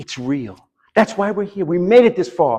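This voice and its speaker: Speaking at a fairly quick pace, a man swings his pitch very widely. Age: 60s. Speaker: preacher. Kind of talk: sermon. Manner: conversational, repeats words.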